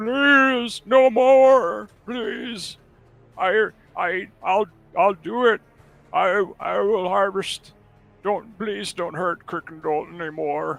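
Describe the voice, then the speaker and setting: Shouting in a put-on character voice, a man speaks very slowly at a high pitch while music plays in the background. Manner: shouting and pleading.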